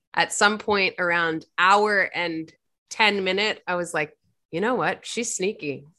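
Speaking with an American accent, a woman has a bright, sharp tone and ordinary pitch variation. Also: medium pitch for a woman, fairly slow pace, quiet background. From Virginia, US. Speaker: podcast panelist. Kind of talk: casual chat.

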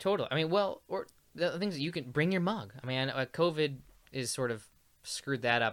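Speaking with an American accent, a man with an ordinary speaking voice talks at a fairly quick pace. His pitch is fairly high and his intonation lively. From US Midwest, Peoria, Illinois. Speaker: coffee roaster. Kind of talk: casual chat.

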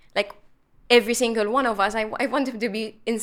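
Speaking at a fairly quick pace, a woman has a fairly high pitch and a normal speaking voice. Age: 20s. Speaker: mental health activist. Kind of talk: panel discussion. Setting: studio.

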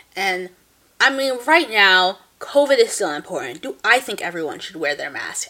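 A woman with a New Jersey accent speaks at a moderate pace in a medium pitch, her tone animated, bright and sharp. Her pitch swings very widely, and her loudness rises and falls in big swings. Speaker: podcast co-host. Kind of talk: casual chat. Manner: animated, frequent laughter.

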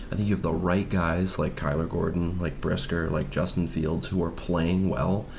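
A man talks in a very deep, low voice with monotone, flat intonation. His pace is moderate and his loudness very even. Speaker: sports podcast co-host. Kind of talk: casual chat. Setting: in person, same room.

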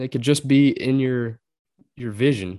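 The sound is dry and close with no echo as a man talks with a Texas Gulf Coast accent. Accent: Texan Gulf Coast American. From southeast Texas. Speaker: duck hunter. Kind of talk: casual chat.

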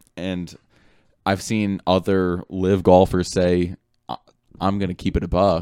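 A man talks at a fairly slow pace in a very deep, low pitch, leaving long, frequent pauses. His delivery is monotone and flat, with a dark, mellow tone and a dry, close sound with no echo. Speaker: podcast host. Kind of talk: casual sports podcast chat.

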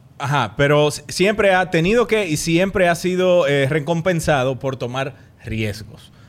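Using a plain, everyday voice, a man speaks at a fairly slow pace. His pitch is fairly high, with lively intonation. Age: 30s. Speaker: actor and comedy podcaster. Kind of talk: casual chat.

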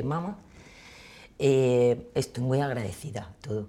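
Her voice is dark and mellow, and this woman's pitch sits very deep and low. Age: 40s. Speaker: municipal employee. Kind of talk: casual interview.

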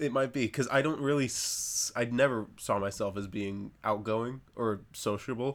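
A man's plain, everyday voice at medium pitch, with ordinary pitch variation, a moderate pace and hardly any pauses, on a very clean recording over a silent background. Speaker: podcast host, prop maker. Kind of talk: casual chat. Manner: casual, chatty.

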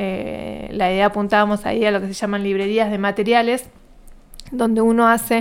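A woman's fairly high voice at a fairly quick pace, flat and monotone in intonation. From Argentina, Río Negro province. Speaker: scientist and university lecturer. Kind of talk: interview.

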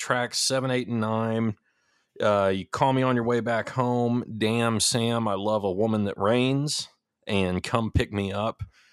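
A fairly slow pace in a slight Texas accent, with fairly even intonation and a very clean recording over a silent background. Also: man, medium pitch for a man. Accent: slight Texas twang. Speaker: music podcast co-host. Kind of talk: casual chat.

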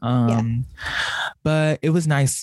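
With an American accent, a man talks in a dry, close sound that has no echo. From Southern California, Orange County. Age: 20s. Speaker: podcast co-host, college student. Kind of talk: casual chat.

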